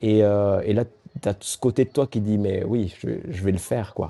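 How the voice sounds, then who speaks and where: A man's fairly low, dark, mellow voice at a fairly slow pace, with big swings in loudness and a dry, close sound with no echo. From southwest France. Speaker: endurance athlete. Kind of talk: interview. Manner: animated.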